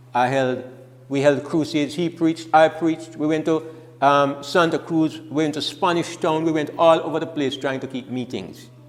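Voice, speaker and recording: A man speaks with fairly even intonation at a moderate pace, his fairly high voice set against noticeable background noise. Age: 70s. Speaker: preacher. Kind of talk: sermon. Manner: halting.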